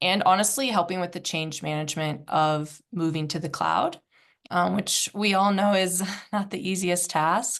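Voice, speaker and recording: A woman with a slight Midwestern accent talks at a moderate pace and medium pitch. Her pitch moves in an ordinary way against a quiet background. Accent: slight Midwest. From Indianapolis, US Midwest. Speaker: software company representative. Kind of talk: webinar presentation. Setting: online webinar.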